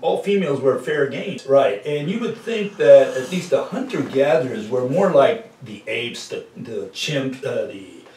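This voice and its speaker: A man's voice at a moderate pace, with audible room echo and light background noise. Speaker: presenter. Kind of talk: lecture-style conversation. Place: home room. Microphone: camera far.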